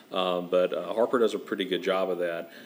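In a very clean recording with a silent background, a man with a Southern US accent speaks in a very deep, low voice with fairly even intonation. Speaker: think tank president. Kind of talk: interview.

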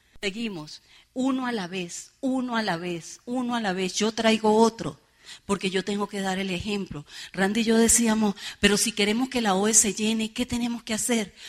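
A woman's fairly high, animated voice at a moderate pace with ordinary pitch variation. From Venezuela, San Cristóbal (Táchira). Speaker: network marketing leader, motivational speaker. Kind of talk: motivational seminar speech. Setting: stage with audience.

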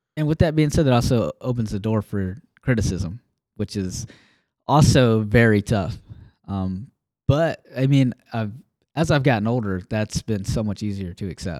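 A dark, mellow voice with an American accent moves at a moderate pace with lively intonation. The sound is dry and close with no echo, on a very clean recording with a silent background. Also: man, medium pitch for a man. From Alabama, US South. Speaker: podcast co-host. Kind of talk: casual faith discussion. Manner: halting, many fillers.

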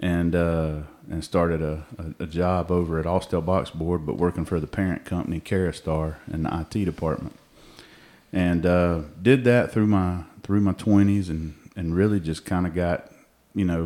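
A man with a very deep, low voice and a Southern US accent speaks at a moderate pace with fairly even intonation and a dark, mellow tone, on a very clean recording with a silent background. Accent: Southern US (Georgia). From Georgia, US South. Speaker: ministry co-founder. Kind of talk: casual chat. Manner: halting, many fillers.

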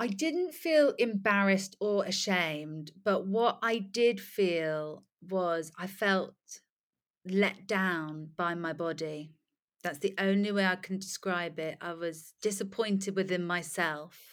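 In a very clean recording with a silent background, a woman at medium pitch speaks at a very slow pace with ordinary pitch variation. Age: 30s. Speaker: personal trainer and fitness influencer. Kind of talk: casual chat.

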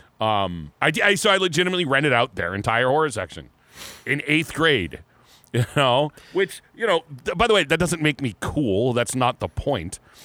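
A man speaks in a fairly high, bright, sharp voice with vocal fry and very wide pitch swings. His moderate pace comes through a dry, close sound with no echo. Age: 40s. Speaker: metal podcast co-host. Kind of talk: casual chat.

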